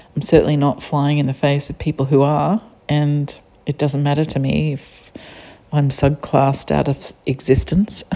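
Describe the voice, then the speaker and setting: With an Australian accent, a woman speaks at a moderate pace in a very deep, low voice with fairly even intonation. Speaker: podcaster. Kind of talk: solo podcast monologue.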